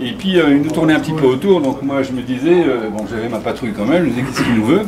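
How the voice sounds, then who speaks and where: A man talks with lively intonation, with audible room echo and noticeable background noise in the recording. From Morocco (Casablanca). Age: 60s. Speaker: former scout leader. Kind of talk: nostalgic storytelling at a gathering. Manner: hesitant with fillers.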